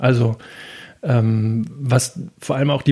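A man is speaking here. His voice is somewhat breathy. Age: 40s. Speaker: logistics entrepreneur. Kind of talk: interview. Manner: hesitant, many filler sounds.

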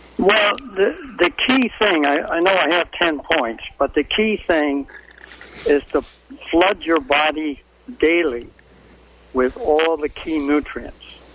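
Over noticeable background noise, a man with a fairly high pitch talks at a very slow pace with lively intonation and long, frequent pauses. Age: 80s+. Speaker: health food store owner. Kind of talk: radio interview. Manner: halting.

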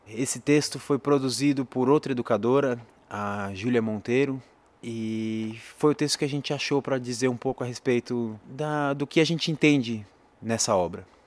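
Recorded very cleanly with a silent background, a man speaks in a Brazilian accent. His pitch variation is ordinary. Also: medium pitch for a man. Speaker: educator and musician. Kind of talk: poetry reading aloud, solemn spoken-word delivery; introduction then reading a written poem. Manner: slow, measured, solemn, with dramatic pauses.

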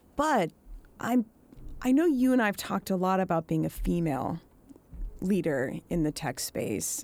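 A woman speaks at a moderate pace with an American accent in a plain, everyday voice, her pitch fairly low. The recording is very clean, with a silent background. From Pacific Northwest US. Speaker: podcast host. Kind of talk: casual interview chat. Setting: studio.

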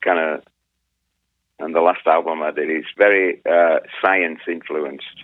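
A man with an English accent, at a fairly slow pace. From England. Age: 50s. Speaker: musician, former punk band member. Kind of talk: interview conversation.

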